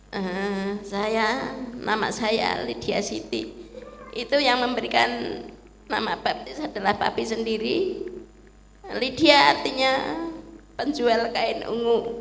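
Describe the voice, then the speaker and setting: A woman with a fairly high pitch speaks very slowly with lively intonation and long, frequent pauses. Audible room echo and noticeable background noise surround her. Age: 60s. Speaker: church member. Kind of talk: testimony.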